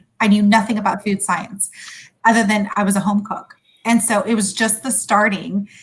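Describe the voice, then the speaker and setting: A woman with an American accent speaks at a moderate pace in a somewhat breathy, monotone voice with flat intonation. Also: medium pitch for a woman. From California, USA (came from Sudan at five). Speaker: food company founder. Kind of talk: interview.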